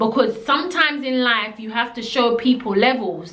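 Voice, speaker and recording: Over noticeable background noise and audible room echo, a woman speaks at a fairly high pitch with ordinary variation. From Jamaica. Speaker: storytelling vlogger. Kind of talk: storytime monologue. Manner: animated.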